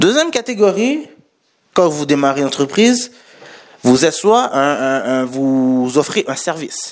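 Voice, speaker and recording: The speech is fairly slow, broken by long, frequent pauses, with very wide pitch swings. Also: man, fairly high pitch for a man. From Haitian heritage. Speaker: podcast host and entrepreneur. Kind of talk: solo podcast monologue. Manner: casual, many fillers.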